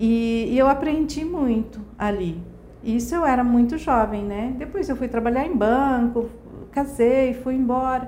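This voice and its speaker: The speaker talks at a fairly slow pace, with audible room echo around the voice. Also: woman, high pitch for a woman, ordinary pitch variation. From Brazil, Mato Grosso do Sul. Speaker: hair salon owner. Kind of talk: interview.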